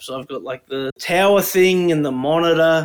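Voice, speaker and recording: The speaker has an Australian accent, a moderate pace and ordinary pitch variation. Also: man. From Brisbane, Australia. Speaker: podcast co-host. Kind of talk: casual chat.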